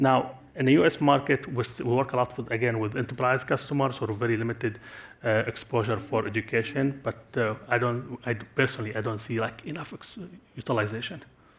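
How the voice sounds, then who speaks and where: A man speaks at a very fast pace, somewhat breathy. His intonation is fairly even. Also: medium pitch for a man. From Syria. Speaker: tech company executive. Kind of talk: conference panel Q&A. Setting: stage with audience. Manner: halting, many fillers and restarts.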